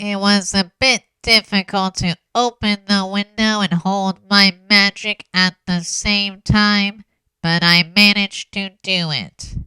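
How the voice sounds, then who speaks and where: In a dry, close sound with no echo, a put-on character voice delivers monotone, flat intonation at a fairly slow pace. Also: woman, medium pitch for a woman. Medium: audio drama. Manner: blunt, guarded.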